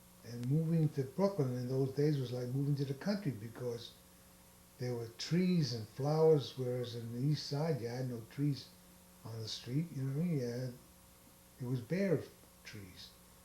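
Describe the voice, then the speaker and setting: A man speaks at a moderate pace with a New York accent. His pitch is medium, with ordinary pitch variation. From New York City. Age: 80s+. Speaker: grandfather interviewed by family. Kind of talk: oral history interview.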